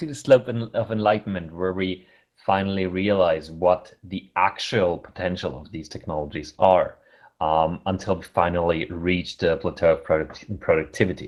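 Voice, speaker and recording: A man with a German accent, fairly low pitch, moderate pace, ordinary pitch variation and big swings in loudness. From Germany. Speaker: conference chair. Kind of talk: conference opening talk. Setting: online virtual conference. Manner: halting.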